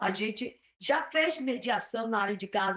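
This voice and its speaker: Speaking with a plain, everyday voice, a woman keeps a fairly high pitch and ordinary pitch variation. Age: 60s. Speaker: peace educator. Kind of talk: panel discussion.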